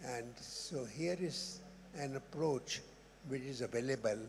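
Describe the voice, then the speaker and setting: Somewhat breathy, a man talks in a fairly high pitch with ordinary pitch variation. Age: 80s+. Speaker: immunologist, audience member. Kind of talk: audience question at conference. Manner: halting.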